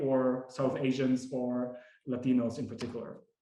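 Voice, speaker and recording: A man with a non-native accent talks at a moderate pace. Audible room echo surrounds his voice. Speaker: academic researcher. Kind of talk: lecture. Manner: many fillers and repetitions.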